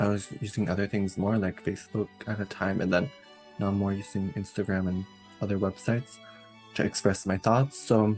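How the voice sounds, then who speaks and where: Soft-spoken and fairly low in pitch, a man talks with music in the background. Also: fairly even intonation, fairly quick pace. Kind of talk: casual talk to camera.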